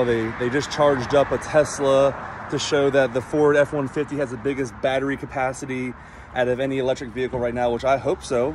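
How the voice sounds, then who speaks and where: Speaking at a fairly quick pace, a man keeps his intonation fairly even. The sound is dry with no echo, and there is noticeable background noise. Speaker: vlogger. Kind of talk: casual vlog chat. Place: street. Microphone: earbuds.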